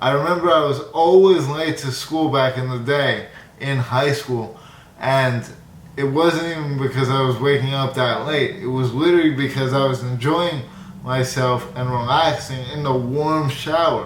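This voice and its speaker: A man with a fairly high pitch talks at a moderate pace and fairly even intonation, with audible room echo and noticeable background noise. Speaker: YouTuber. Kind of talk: casual vlog monologue. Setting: studio.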